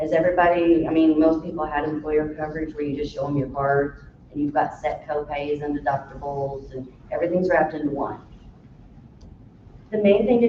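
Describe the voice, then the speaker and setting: Someone with an American accent talks at a fairly quick pace over noticeable background noise. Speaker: Medicare benefits counselor. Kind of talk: informational presentation to a live audience. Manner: fast.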